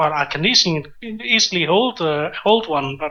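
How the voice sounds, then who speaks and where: This speaker talks at a very slow pace with a Danish accent. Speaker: conversation guest. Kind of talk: casual conversation. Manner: halting, repeats words.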